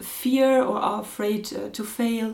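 With a German accent, a woman speaks using fairly even intonation. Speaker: podcast host. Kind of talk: interview.

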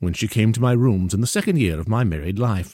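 This clip features a natural reading voice. The text is read aloud throughout.

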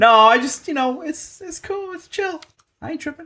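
In a strained, high-pitched, put-on character voice, the speaker goes at a moderate pace. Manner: fake casual, high-pitched and strained.

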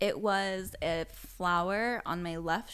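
A woman with a plain, everyday voice talks at a fairly low pitch, her pitch varying in an ordinary way. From Las Vegas, US. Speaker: yoga teacher and studio owner. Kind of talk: casual chat. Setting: studio.

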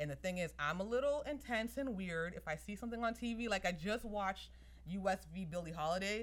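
Her voice has a medium pitch and an animated tone. The woman moves at a fairly quick pace with lively intonation. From Somerville, Massachusetts. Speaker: attorney and entrepreneur. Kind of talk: casual chat.

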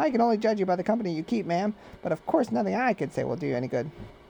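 A man puts on a character voice, talking very fast with big pitch swings, a high pitch, a dark, mellow tone and vocal fry.

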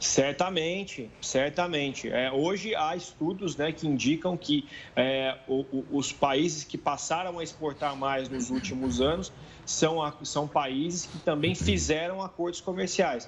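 Here a man talks at a fairly slow pace. His pitch is fairly high, with ordinary pitch variation. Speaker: international relations professor. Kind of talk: TV interview. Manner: hesitant, repeats words.

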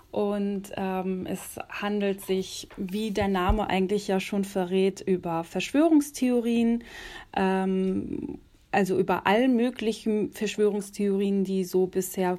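A dark, mellow tone moves at a very slow pace. The recording is very clean, with a silent background. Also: woman. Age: 20s. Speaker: journalist. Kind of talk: casual interview.

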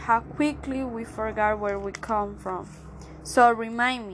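With a Spanish accent, a woman speaks at a fairly slow pace in a high pitch with fairly even intonation. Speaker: spoken word poet. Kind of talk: spoken word poetry performance.

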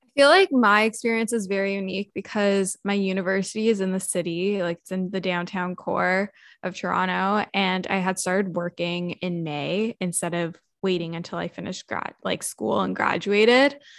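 A woman's normal speaking voice, medium in pitch, at a moderate pace with fairly even intonation, dry and close with no echo against a quiet background. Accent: Canadian. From Canada. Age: 20s. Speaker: content creator. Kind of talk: casual chat.

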